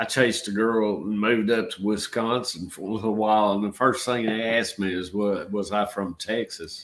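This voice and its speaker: A man with a Georgia accent and fairly even intonation. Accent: Georgia Southern drawl. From Georgia, US South. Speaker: channel host, artist. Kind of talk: casual live-stream chat.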